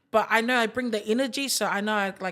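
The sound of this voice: The woman speaks at a fast pace with a fairly high pitch. She has a fairly bright tone and ordinary pitch variation.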